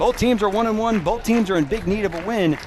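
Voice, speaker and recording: Noticeable background noise behind a man's very fast speech. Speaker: sports anchor and play-by-play announcer. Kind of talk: high school game broadcast open and post-game show.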